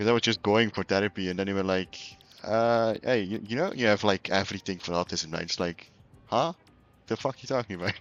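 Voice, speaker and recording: Music plays behind a man with a Flemish accent. His fairly low voice moves at a fairly quick pace with ordinary pitch variation. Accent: Flemish Dutch accent in English. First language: Dutch. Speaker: video game streamer. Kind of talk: casual live-stream chat while gaming.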